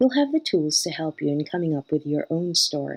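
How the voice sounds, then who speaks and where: With a slight American accent, a woman speaks at a fairly low pitch with lively intonation, the sound dry and close with no echo and music in the background. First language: not English. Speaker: academic coach and English tutor. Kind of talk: educational narration.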